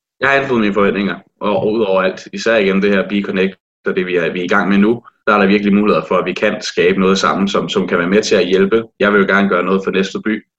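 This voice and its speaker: Very fast and flat, a man talks in a monotone at a fairly low pitch. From Denmark, Næstved (Zealand). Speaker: student. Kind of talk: interview. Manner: hesitant.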